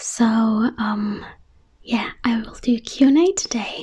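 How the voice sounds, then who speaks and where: A woman speaks in a soft-spoken manner. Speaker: ASMR creator. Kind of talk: Q&A video.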